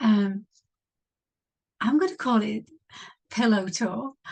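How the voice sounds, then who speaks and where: A soft-spoken woman talks with an English accent at a fairly high pitch. Her voice is somewhat breathy, with lively intonation. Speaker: podcaster, former hypnotherapist. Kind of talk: casual monologue introduction. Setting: home studio.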